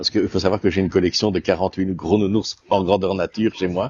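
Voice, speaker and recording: A man speaks with a slight Walloon accent. His pitch is very deep and low. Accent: Namur Belgian accent, somewhat toned down. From Belgium, Namur region. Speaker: actor. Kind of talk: interview. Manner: hesitant, many fillers.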